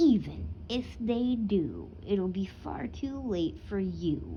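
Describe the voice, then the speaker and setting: A put-on character voice at a middle pitch moves at a very slow pace. Background noise is clearly audible. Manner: hissing.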